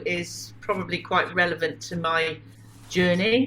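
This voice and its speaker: Someone with a British accent talks fairly slowly and with lively intonation over noticeable background noise. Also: woman. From southern England (Wiltshire). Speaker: spiritual teacher and contactee. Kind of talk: interview.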